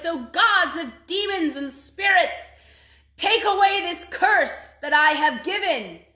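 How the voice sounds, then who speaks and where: Using a put-on character voice, a woman speaks at a fairly slow pace in an extremely high pitch, with lively intonation and big swings in loudness. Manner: loud, commanding, incantatory.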